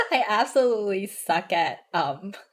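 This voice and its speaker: Speaking at a medium pitch, a woman talks with a Cantonese accent. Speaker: vtuber streamer. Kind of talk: casual chat. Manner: halting, repeats words.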